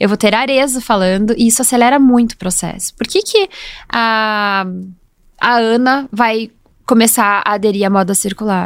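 Here a woman talks in an ordinary speaking voice at a fairly high pitch with ordinary pitch variation. Her pace is moderate, and the recording is very clean with a silent background. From Brazil, Curitiba (Paraná). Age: 30s. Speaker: entrepreneur, former lawyer. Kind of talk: casual interview. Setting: studio.

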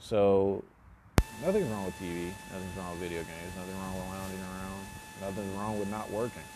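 Noticeable background noise sits behind the speaker. He is a man with a fairly low pitch and a relaxed tone. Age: 20s. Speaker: solo podcaster. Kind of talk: casual monologue. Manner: relaxed, filler-heavy.

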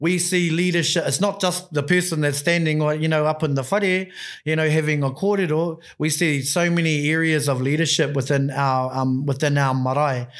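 At a moderate pace with hardly any pauses, a man with a New Zealand accent speaks in a fairly high pitch with fairly even intonation and very even loudness, on a very clean recording with a silent background. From New Zealand, Christchurch. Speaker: Māori education program leader. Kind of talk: casual interview. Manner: halting, many fillers.

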